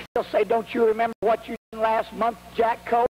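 This man talks at a fairly quick pace. His pitch is high. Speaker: revival preacher. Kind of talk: sermon. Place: hall. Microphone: handheld.

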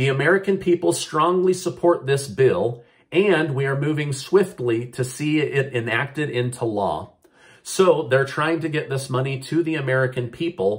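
The speaker sounds somewhat breathy, talking at a moderate pace with ordinary pitch variation. The background is quiet. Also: man. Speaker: news vlogger. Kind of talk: news commentary vlog. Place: home room. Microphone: phone near.

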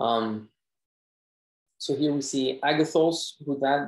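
This man's voice sits at a fairly high pitch. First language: not English. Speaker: Bible study presenter. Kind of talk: Bible study discussion. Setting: video call.

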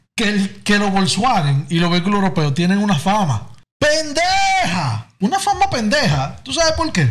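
A man at a fairly slow pace. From Dominican Republic. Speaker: podcast guest. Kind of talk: casual chat. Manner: animated. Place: studio. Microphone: studio mic.

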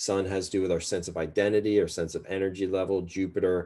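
The voice has a dark, mellow tone and monotone, flat intonation. The background is quiet. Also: man. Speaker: astrologer. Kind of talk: tutorial. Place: home room. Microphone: webcam.

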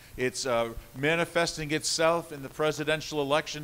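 Pitch shifts in an ordinary way. The speed is moderate. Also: man. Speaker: pastor. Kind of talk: sermon. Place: church.

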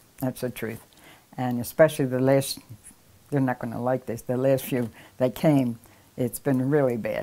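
A dark, mellow voice in a Philadelphia accent at a moderate pace. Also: woman. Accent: Philadelphia American English. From Philadelphia, US. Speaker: oral history interviewee. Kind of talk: casual interview. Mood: warm, nostalgic, smiling. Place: home room. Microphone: lapel.

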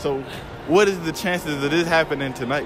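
A man with a fairly high pitch talks at a moderate pace with ordinary pitch variation over clear background noise.

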